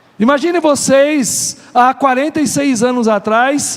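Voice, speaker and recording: Noticeable noise sits behind speech delivered very slowly. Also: man. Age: 50s. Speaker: pastor. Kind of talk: sermon. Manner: animated.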